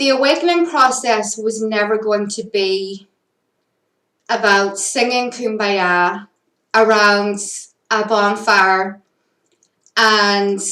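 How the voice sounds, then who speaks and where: A woman with a Northern Irish accent speaks at a very slow pace with long, frequent pauses, her bright, sharp voice fairly high in pitch with ordinary pitch variation, and the room echo is audible. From Northern Ireland. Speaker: spiritual content creator. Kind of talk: personal monologue. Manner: casual with fillers.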